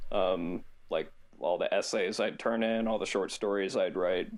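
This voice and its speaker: A man at a moderate pace. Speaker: aspiring youtuber. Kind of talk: casual chat.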